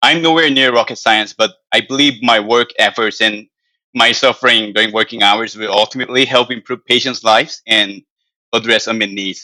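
Speaking at a fairly quick pace with a Korean accent, a man uses a medium pitch in a dry, close sound with no echo on a very clean recording with a silent background. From South Korea. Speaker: financial analyst. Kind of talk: interview answers.

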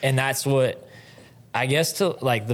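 A man with an American accent at a moderate pace, on a very clean recording with a silent background. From northwest Oklahoma. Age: 30s. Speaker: team roper and trailer salesman. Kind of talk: casual interview. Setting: studio. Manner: soft-spoken.

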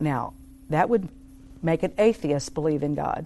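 Speaking at a moderate pace, a woman has a very deep, low pitch and a dark, mellow tone. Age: 50s. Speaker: ministry team member. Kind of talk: casual interview. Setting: studio.

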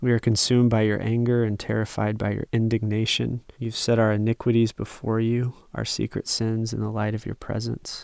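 Recorded very clean and dry, close with no echo and a silent background, a man speaks at medium pitch and a moderate pace with hardly any pauses and monotone, flat intonation. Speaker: Bible study participant. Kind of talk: small group Bible study conversation.

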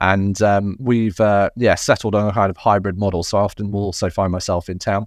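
Over a quiet background, a man talks at a fairly quick pace and a fairly low pitch with monotone, flat intonation. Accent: southern English. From England. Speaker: tech company CEO. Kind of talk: interview conversation.

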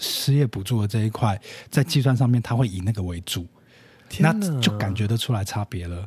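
Speaking at a fairly quick pace, a man with a fairly low pitch and ordinary pitch variation sounds somewhat breathy, in a dry, close sound with no echo. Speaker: influencer marketing specialist. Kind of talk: casual chat. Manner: quiet, low-energy.

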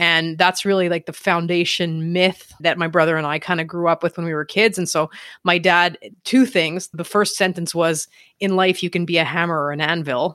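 In a Montreal accent, a woman with a fairly low pitch speaks at a moderate pace with fairly even intonation, the sound dry and close with no echo. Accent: Montreal Canadian English. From Canada, Montreal. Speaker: real estate investor and coach. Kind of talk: interview conversation.

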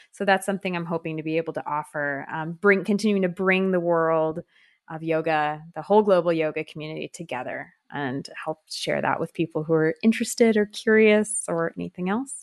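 A woman with an American accent and an ordinary speaking voice talks at a fairly low pitch and fairly quick pace with hardly any pauses and ordinary pitch variation, in a dry, close sound with no echo over a quiet background. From California. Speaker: yoga teacher and community founder. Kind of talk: interview.

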